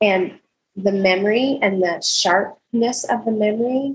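A woman's somewhat breathy, medium-pitched voice at a fairly slow pace. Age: 60s. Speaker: podcast co-host, homeschool mom. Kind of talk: casual book discussion.

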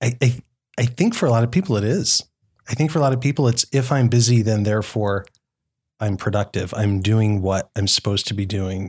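A man with a medium-pitched, somewhat breathy voice speaks at a fairly quick pace with ordinary pitch variation. The recording is very clean, with a silent background. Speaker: startup entrepreneur. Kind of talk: casual interview chat. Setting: podcast studio at a conference.

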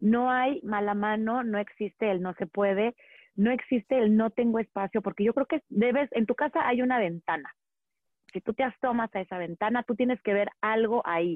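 This woman has an ordinary speaking voice with a fairly high pitch. Her pace is moderate and her pitch variation ordinary. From Mexico, Monterrey. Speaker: urban gardening and plant expert. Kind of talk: interview.

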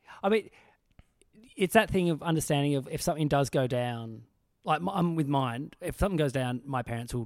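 At a fairly quick pace, a man with an Australian accent speaks at a fairly high pitch with lively intonation. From Tasmania, Australia. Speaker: comedian, podcast host. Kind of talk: casual chat.

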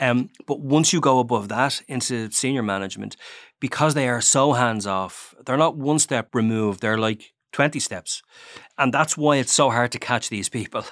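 A man with an Irish accent speaks at a moderate pace, medium in pitch with ordinary variation. The sound is dry and close with no echo, on a very clean recording with a silent background. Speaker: newspaper crime journalist. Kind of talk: interview.

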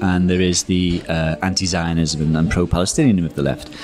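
A man's very deep, low voice against noticeable background noise. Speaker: author and political writer. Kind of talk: casual interview chat. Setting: restaurant.

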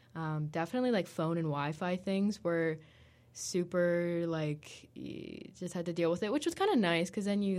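Using a normal speaking voice with an American accent, a woman talks at a moderate pace, fairly low in pitch with ordinary variation. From United States. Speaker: university student. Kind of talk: casual interview.

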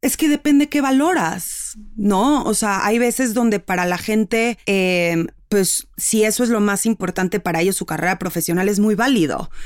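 On a very clean recording with a silent background, a woman with a Mexican accent speaks at a moderate pace and a medium pitch, with lively intonation and very even loudness. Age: 30s. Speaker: marketer and cultural psychologist. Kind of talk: interview.

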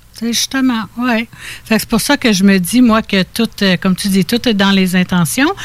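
Somewhat breathy and at medium pitch, a woman speaks at a fairly slow pace with very even loudness and ordinary pitch variation. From Quebec (Laurentides, Estrie), born in Ontario. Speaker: spiritual healer. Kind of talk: interview.

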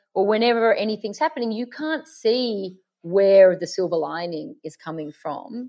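Speaking with an Australian accent at a fairly slow pace, the voice has lively intonation and big swings in loudness. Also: woman. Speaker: makeup artist and fragrance brand founder. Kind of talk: casual interview.

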